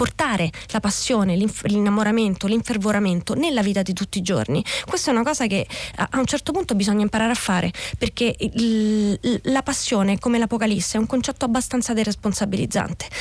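A woman speaks at a very fast pace with a fairly high pitch and ordinary pitch variation. Her voice is somewhat breathy and very even in loudness. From southern Lazio, Italy (Scauri, Gulf of Gaeta). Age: 40s. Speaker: novelist. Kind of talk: radio interview. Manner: halting, frequent repetitions.

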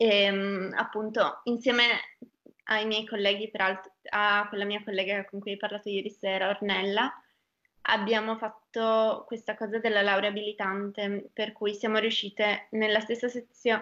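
A bright, sharp tone at a fairly slow pace over a quiet background. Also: woman. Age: 20s. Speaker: young doctor. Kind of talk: casual interview.

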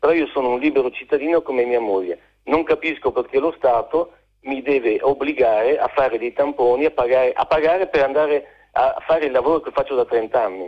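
With a normal speaking voice, a man talks at a fairly high pitch and ordinary pitch variation. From Genoa, Liguria. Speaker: caller. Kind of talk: phone-in call. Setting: phone call.

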